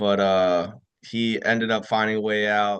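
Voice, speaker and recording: A man with a New York accent and a fairly low pitch, at a moderate pace over a quiet background. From New York, Rockland County. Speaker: retired army officer. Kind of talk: casual chat.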